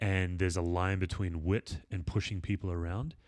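A man with a very deep, low pitch and a confident tone keeps his intonation fairly even in a very clean recording with a silent background. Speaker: podcast host and author on leadership, church leader. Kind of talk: casual chat. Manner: sounds confident, assertive.

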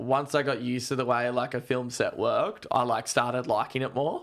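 This man keeps a moderate pace, his mid-range pitch moving with ordinary variation. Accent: Australian. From Australia (Gold Coast, Darwin, moved around). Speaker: professional surfer. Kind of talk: casual chat.

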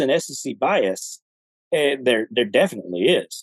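A man with a Southern US accent at a fairly slow pace, in a dry, close recording without echo. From Alabama, US South. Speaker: retired army veteran. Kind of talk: casual chat. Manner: halting, with many repetitions.

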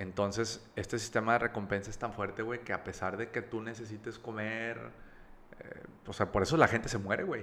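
A man speaks in an ordinary speaking voice at medium pitch. He moves at a fairly quick pace with fairly even intonation. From Mexico, Monterrey (with childhood in Campeche and Veracruz). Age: 30s. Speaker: recovered drug addict, advertising creative. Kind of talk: testimony.

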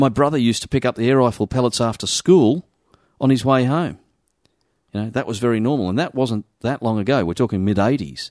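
Speaking fairly quickly in an Australian accent, the voice shows ordinary pitch variation. The sound is dry and close with no echo, over a quiet background. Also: man, medium pitch for a man. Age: 40s. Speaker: shooters' association representative. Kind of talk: interview.

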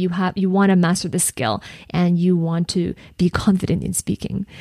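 The woman's voice is medium in pitch, with a dry, close sound with no echo. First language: not English. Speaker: podcast host and career coach. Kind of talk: solo podcast monologue, coaching talk. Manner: conversational, frequent self-corrections.

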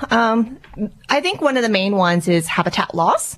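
An unremarkable speaking voice from a woman, moderate in pace, with lively intonation. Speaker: event organiser and producer. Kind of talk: radio interview, casual chat.

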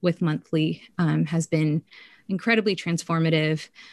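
The sound is dry and close, with no echo. A normal speaking voice carries fairly even intonation. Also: woman. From Korean-American community, US. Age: young. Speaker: writer and pastor. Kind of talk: casual interview.

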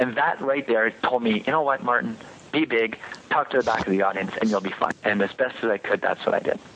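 Keeping his loudness very even, a man of medium pitch talks at a fairly quick pace over noticeable background noise. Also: ordinary pitch variation. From Quebec. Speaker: public speaking contest finalist. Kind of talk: interview. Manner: hesitant with repetitions.

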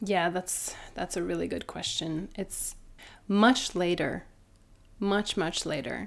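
A woman speaks with a Norwegian accent. The recording is very clean, with a silent background. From Norway. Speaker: doula. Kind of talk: casual chat.

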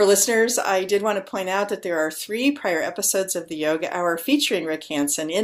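A woman with an unremarkable speaking voice talks at a moderate pace, her fairly low pitch showing ordinary variation. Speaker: podcast host. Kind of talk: interview conversation. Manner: warm, gentle.

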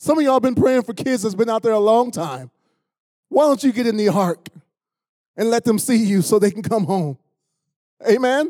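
A man with an American accent and a high pitch speaks at a moderate pace in a dark, mellow tone with lively intonation and long, frequent pauses, recorded very cleanly with a silent background. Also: dry, close sound with no echo. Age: 60s. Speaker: pastor. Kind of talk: sermon. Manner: animated.

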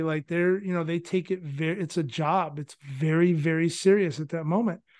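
A man with an American accent and a high pitch talks at a fairly quick pace with hardly any pauses. His intonation is fairly even, and the background is quiet. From California. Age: 40s. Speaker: former baseball player and scout. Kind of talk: casual interview.

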